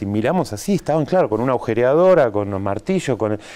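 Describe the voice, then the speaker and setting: Very fast speech with very wide pitch swings comes in a dark, mellow tone. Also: man. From Buenos Aires, Argentina; Argentina. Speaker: animation filmmaker; TV interview guest. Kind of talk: interview. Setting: TV studio. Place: studio.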